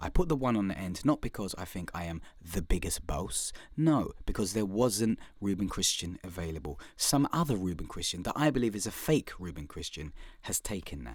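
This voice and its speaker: A man with a London accent talks at a fairly low pitch with very wide pitch swings and big swings in loudness. The recording is very clean with a silent background. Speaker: podcast host and comedian. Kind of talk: podcast intro monologue. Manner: fast; animated.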